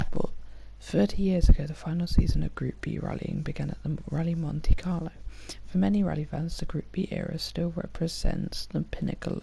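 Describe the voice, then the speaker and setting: Words come at a fairly quick pace. The voice is soft-spoken. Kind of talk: ASMR soft-spoken reading of facts.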